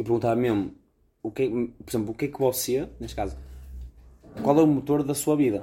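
The speech runs at a very fast pace with ordinary pitch variation. The tone is dark and mellow, with vocal fry. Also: man. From Braga, northern Portugal. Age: 20s. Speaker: podcast co-host. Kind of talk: casual chat. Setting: recording on the road in Chaves.

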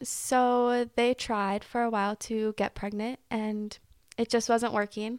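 A woman's fairly high, monotone voice at a very slow pace, dry and close with no echo, on a very clean recording with a silent background. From small town. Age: 20s. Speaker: adoptee sharing her story. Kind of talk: casual interview.

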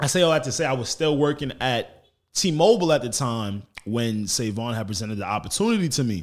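Speaking at a fairly quick pace, a man with a New York accent uses lively intonation at a medium pitch on a very clean recording with a silent background. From Long Island, New York. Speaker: podcaster. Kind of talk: casual chat. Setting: studio.

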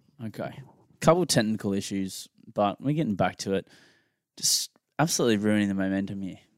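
A very fast Australian accent with long, frequent pauses, in a very clean recording with a silent background and a dry, close sound with no echo. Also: man, fairly low pitch for a man, ordinary pitch variation. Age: 20s. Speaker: podcast co-host. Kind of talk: casual chat.

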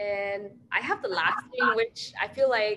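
A woman with a Chinese accent speaks at a very slow pace, her intonation lively. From China. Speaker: podcast co-host. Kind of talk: casual chat.

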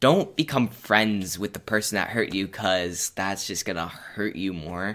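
A man's fairly low-pitched voice at a moderate pace, an ordinary speaking voice, on a very clean recording with a silent background. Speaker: podcast co-host. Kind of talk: casual chat.

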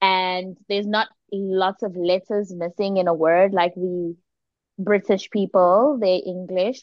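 A woman with a South African accent speaks at a fairly slow pace in an animated tone, her pitch medium. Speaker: podcast co-host. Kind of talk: casual chat. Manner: animated, laughs often.

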